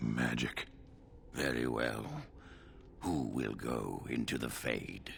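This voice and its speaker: A man puts on a raspy character voice with a very deep, low pitch, over clear background noise. He talks very slowly, leaving long, frequent pauses. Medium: video game. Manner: formal, measured.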